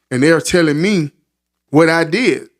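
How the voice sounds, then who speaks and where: A man's voice, high in pitch. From US South, Florida (Marion County). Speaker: podcast host. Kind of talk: casual interview chat.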